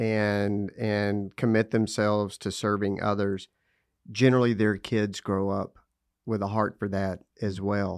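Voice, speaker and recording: With a West Texas accent, a man speaks at a fairly slow pace. His pitch is fairly low. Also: very clean recording, silent background. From US South, Lubbock, Texas. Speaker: parenting speaker. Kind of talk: casual interview.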